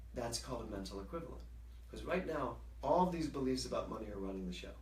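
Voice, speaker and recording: A man with a very deep, low pitch talks at a very fast pace with very wide pitch swings. Background noise is noticeable, and there is audible room echo. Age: 60s. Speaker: minister and spiritual teacher. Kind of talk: casual interview. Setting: livestream video.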